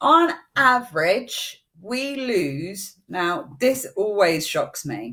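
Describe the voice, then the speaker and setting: This woman's fairly high voice carries vocal fry and very wide pitch swings. She speaks at a very slow pace. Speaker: eyelash extension trainer. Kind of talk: live-streamed tutorial. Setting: Facebook live stream.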